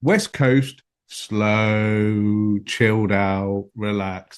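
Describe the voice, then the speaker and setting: With a British accent, a man speaks at a fairly low pitch. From UK. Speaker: podcast co-host. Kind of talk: podcast interview.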